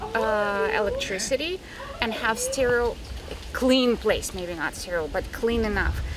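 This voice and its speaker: A woman talks with a Russian accent. Noticeable background noise is present. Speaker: animal rescue founder. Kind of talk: interview.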